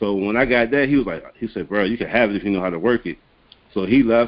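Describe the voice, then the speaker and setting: A man with an American accent talks at a very fast pace. His pitch is medium and his intonation fairly even. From Hampton, Virginia. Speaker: music producer. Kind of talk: casual interview.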